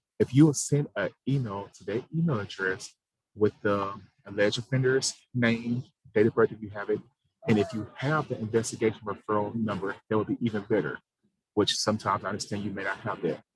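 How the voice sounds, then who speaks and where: In a dry, close sound with no echo, a man with a fairly low pitch talks at a fairly quick pace, somewhat breathy. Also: ordinary pitch variation. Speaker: government program administrator. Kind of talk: informational briefing on a provider call. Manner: fast.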